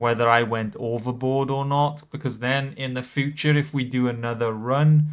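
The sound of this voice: The speaker reads in an unforced voice, keeping the intonation fairly even.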